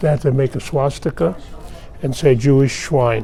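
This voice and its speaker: A man at medium pitch against noticeable background noise. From Austria. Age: 80s+. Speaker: Holocaust survivor. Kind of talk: testimony. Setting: press office interview.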